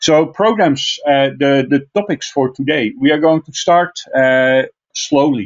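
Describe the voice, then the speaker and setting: With a Dutch accent, a man speaks at a fairly slow pace in a fairly high voice, showing ordinary pitch variation and big swings in loudness. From Netherlands, Friesland. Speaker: IT trainer. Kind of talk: online technical class. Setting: online video class. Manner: frequent filler uh.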